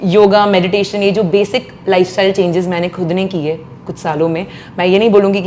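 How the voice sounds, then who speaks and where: A woman speaks at a medium pitch with fairly even intonation and a moderate pace. Noticeable background noise can be heard. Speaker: playback singer. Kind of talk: interview.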